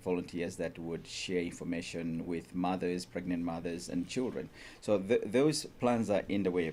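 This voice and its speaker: A man speaks at a very deep, low pitch with a dark, mellow tone. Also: ordinary pitch variation, moderate pace. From Malawi. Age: 50s. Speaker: charity founder. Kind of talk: radio interview. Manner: halting.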